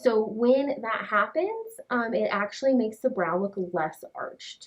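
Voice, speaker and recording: At a fairly slow pace, a woman in a normal speaking voice talks with a fairly high pitch and lively intonation. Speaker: brow artist. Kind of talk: client consultation. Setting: in-person session, wearing a mask. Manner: casual, filler-heavy.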